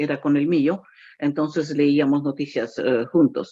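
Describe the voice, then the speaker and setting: This woman's tone is dark and mellow. She talks at a very slow pace. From Ecuador. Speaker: radio announcer. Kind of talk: interview answer.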